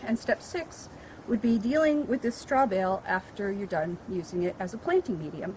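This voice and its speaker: Noticeable background noise sits behind a woman speaking at a medium pitch. Her intonation is lively and her pace fairly quick. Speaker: librarian and gardener. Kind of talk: tutorial.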